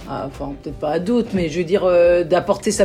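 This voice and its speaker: Pitched fairly low, a woman talks at a fairly quick pace over noticeable background noise. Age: 40s. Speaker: chef. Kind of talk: interview. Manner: hesitant, many fillers.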